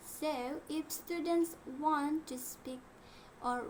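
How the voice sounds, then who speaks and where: Speaking very slowly with fairly even intonation, a woman is heard amid audible room echo. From Indonesia. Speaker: English learner. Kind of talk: class presentation. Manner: halting.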